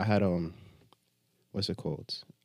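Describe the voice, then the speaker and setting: A man speaks with an American accent. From upstate New York, Jamaican family. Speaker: music booking agent. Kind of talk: casual chat. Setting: studio.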